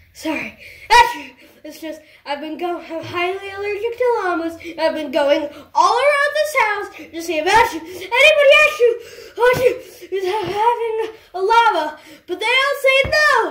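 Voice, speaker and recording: A cartoonish character voice moves at a moderate pace with an extremely high pitch. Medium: puppet.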